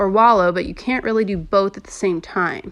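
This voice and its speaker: An ordinary speaking voice from a woman, at a fairly quick pace with ordinary pitch variation. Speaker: podcast host. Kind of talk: casual monologue podcast.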